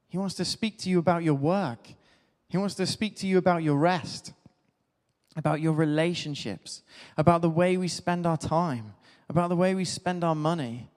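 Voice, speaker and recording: Someone with a southern English accent speaks at a moderate pace with ordinary pitch variation. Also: man. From Devon, England. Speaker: clergy. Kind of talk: sermon.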